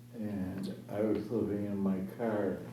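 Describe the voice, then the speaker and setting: Audible room echo and noticeable background noise surround a man speaking at a fairly low pitch. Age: 70s. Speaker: senior resident, formerly homeless. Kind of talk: public meeting discussion.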